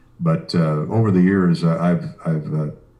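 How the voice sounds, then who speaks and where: A man with a very deep, low pitch and a dark, mellow tone, at a moderate pace, with a Midwestern American accent. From Iowa, US Midwest. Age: 60s. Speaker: sports radio broadcaster. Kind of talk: interview. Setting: video call from home office studio. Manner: hesitant fillers.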